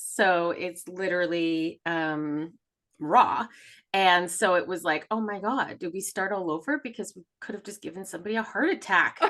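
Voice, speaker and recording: Her tone is bright and sharp, at a medium pitch with ordinary pitch variation. The woman keeps a moderate pace, with big swings in loudness. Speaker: podcast co-host, intuitive healer. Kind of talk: casual chat. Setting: studio recording with camera. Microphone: mic close to face.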